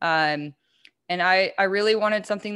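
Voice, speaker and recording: A woman with an ordinary speaking voice, at a moderate pace with ordinary pitch variation, on a very clean recording with a silent background. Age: 20s. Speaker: mushroom product business owner. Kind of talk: casual chat.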